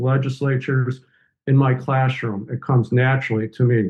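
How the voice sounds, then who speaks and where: With an unremarkable speaking voice, a man delivers his words at a moderate pace, his pitch medium and his intonation fairly even. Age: 60s. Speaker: professor and environmental justice author. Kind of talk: podcast interview.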